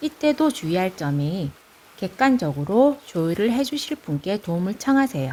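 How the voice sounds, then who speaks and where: A woman with a Gyeongsang accent at a fairly slow pace, medium in pitch with very wide pitch swings. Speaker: parent. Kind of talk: informal advice talk to camera.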